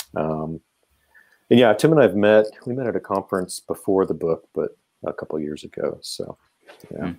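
With a Midwestern American accent, a man speaks at a moderate pace in a fairly low pitch and a dark, mellow tone, his lively intonation broken by long, frequent pauses in a dry, close sound with no echo. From Kansas. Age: 50s. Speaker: philosophy professor. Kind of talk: casual interview.

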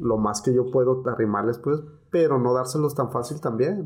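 Here a man talks at a medium pitch. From Mexico, Guadalajara area (Tlaquepaque). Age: 40s. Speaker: paramedic. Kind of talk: casual chat.

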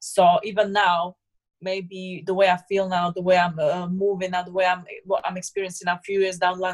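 This woman has a Slovak accent and a medium pitch. She talks at a fairly quick pace. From Slovakia. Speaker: personal trainer and former bodybuilder. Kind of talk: casual interview.

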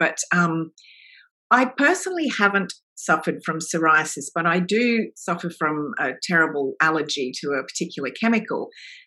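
With an Australian accent, a woman speaks in a bright, sharp tone marked by very wide pitch swings. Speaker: novelist. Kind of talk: interview.

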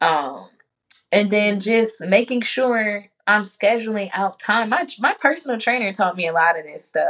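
Speaking at a fairly slow pace, a woman with an American accent has an ordinary speaking voice and lively intonation. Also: medium pitch for a woman. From Chicago. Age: 20s. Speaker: entrepreneur and spiritual advisor. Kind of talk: casual chat.

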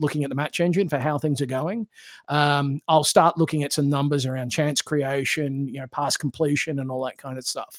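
This man has an Australian accent and a fairly high pitch, recorded dry and close with no echo against a very clean, silent background. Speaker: podcast guest, football game enthusiast. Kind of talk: casual chat.

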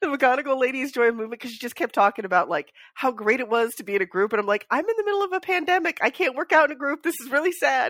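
A woman talks very fast at a high pitch, her voice swinging very widely up and down. The sound is dry and close with no echo, though background noise is noticeable. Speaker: podcast host. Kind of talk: casual chat. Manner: rambling, self-deprecating, spacey.

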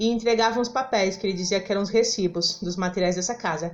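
A woman talks at a fairly quick pace in a plain, everyday voice. Her pitch sits in the medium range with ordinary variation. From São Paulo (Penha, East Zone). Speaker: poet and theatre practitioner. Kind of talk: interview conversation.

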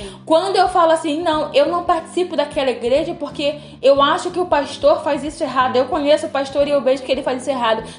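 A woman's high voice in an animated tone, very fast with hardly any pauses and ordinary pitch variation, against noticeable background noise. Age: 20s. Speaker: podcast host. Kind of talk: casual chat.

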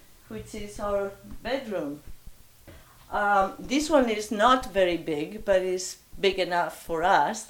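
At a very slow pace with long, frequent pauses, the speaker uses lively intonation and big swings in loudness, in a Spanish accent. Noticeable background noise sits underneath. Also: woman, medium pitch for a woman. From Spain, Bilbao. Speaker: interviewee giving house tour. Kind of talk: casual interview. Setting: at home.

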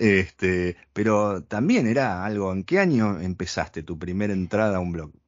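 A man with a fairly low pitch speaks at a moderate pace with hardly any pauses and ordinary pitch variation, in a normal speaking voice. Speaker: podcast host. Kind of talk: interview.

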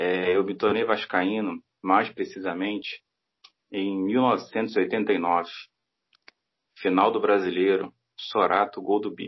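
Very slowly, with long, frequent pauses, a man speaks at a fairly low pitch and with fairly even intonation. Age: 40s. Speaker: football fan commentator. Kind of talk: casual chat.

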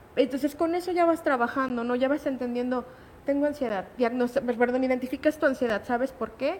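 This woman's voice sits high in pitch, varying in an ordinary way. She moves along at a fairly quick clip. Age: 30s. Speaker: patient sharing testimony, digital marketer. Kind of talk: personal testimony in radio interview. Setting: radio studio.

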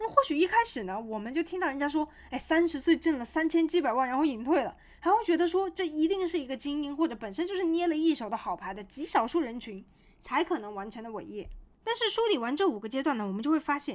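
A woman speaks at a very fast pace in a high, animated voice. Her pitch swings very widely. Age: 20s. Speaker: podcast host reviewing books. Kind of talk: solo book-summary podcast monologue.

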